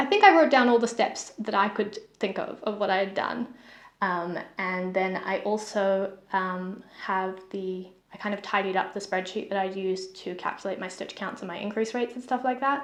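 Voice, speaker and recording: This woman has a New Zealand accent. She speaks at a moderate pace with ordinary pitch variation. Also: medium pitch for a woman. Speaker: knitting vlogger. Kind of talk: casual chat. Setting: home, sitting on the floor.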